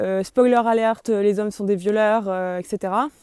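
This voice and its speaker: In a very clean recording with a silent background, a woman speaks with a dark, mellow tone at a fairly high pitch. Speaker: video blogger. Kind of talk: testimony. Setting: psychiatric clinic. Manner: fast; hesitant.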